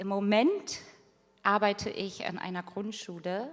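At a fairly slow pace, a woman talks in an ordinary speaking voice with a medium pitch. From northern Germany, rural area near Hanover. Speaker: social education worker. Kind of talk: church testimony interview.

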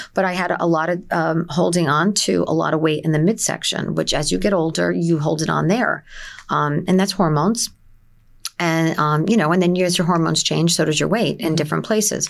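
A woman with a New Jersey accent speaks at a fairly quick pace in a fairly low pitch, with vocal fry, ordinary pitch variation and very even loudness. The recording is very clean with a silent background. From New Jersey, Essex County. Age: 50s. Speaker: wellness clinic owner. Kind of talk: casual interview.

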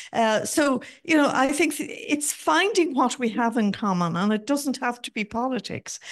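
Speaking with an Irish accent, a high-pitched woman keeps a moderate pace with hardly any pauses and lively intonation, over a quiet background. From Ireland, border counties. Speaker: audience member, former city councillor. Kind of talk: audience question. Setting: event hall with audience.

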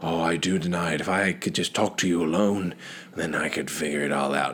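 Putting on a character voice, a man speaks very deep and low at a fairly quick pace, with fairly even intonation, very even loudness and clear background noise. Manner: pleading.

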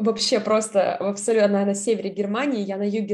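A woman speaks in an unremarkable speaking voice at medium pitch. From southern Russia. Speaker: scholarship student. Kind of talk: interview.

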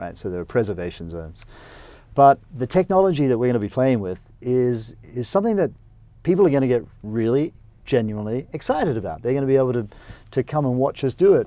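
A man talks at a very fast pace with an Australian accent. His medium-pitched voice has a dark, mellow tone and very wide pitch swings. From Australia (rural Queensland). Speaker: company CEO and entrepreneur. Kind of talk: interview. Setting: studio.

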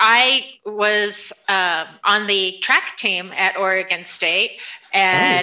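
The speaker has an American accent and talks at a very slow pace with fairly even intonation. Loudness stays very even throughout. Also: woman, medium pitch for a woman. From upstate New York. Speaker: nonprofit fundraising director. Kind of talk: interview conversation.

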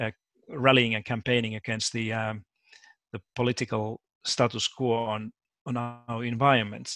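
Speaking in a Finnish accent, a man with a medium pitch talks at a moderate pace with long, frequent pauses and monotone, flat intonation. His tone is bright and sharp, and the sound is dry and close with no echo. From Finland. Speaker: education professor. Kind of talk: interview. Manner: halting, repeats words.

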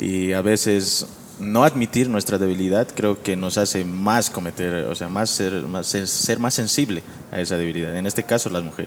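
Against noticeable background noise, a man talks in a very deep, low pitch with ordinary pitch variation. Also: moderate pace. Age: 20s. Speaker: graphic designer. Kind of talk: casual chat.

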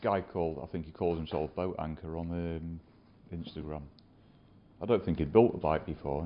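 With a Lincolnshire accent, a man with a very deep, low pitch talks at a fairly quick pace. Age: 50s. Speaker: custom motorcycle builder. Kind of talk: interview. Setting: workshop.

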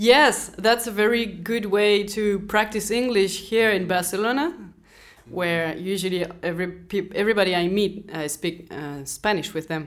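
A woman's medium-pitched voice in a French accent, at a moderate pace with ordinary pitch variation. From France. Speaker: interviewee. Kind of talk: interview.

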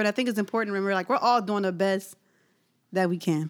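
A woman talks at a very fast pace in an animated tone. Her pitch is medium, with ordinary pitch variation. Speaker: podcast co-host. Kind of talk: casual chat.

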